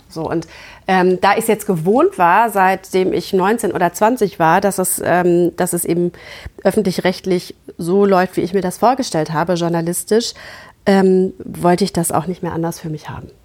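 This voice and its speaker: Here is a woman with a normal speaking voice and medium pitch. Her pace is moderate and her intonation fairly even. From Germany, Gütersloh (Westphalia). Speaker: TV journalist. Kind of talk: interview conversation.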